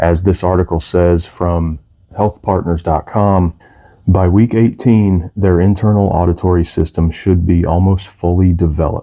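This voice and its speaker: A man speaks quietly at a very deep, low pitch and a moderate pace. His loudness stays very even, and his intonation is fairly even. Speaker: music channel host, parent. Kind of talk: informal explainer monologue. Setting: at home downstairs. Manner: quiet, low energy.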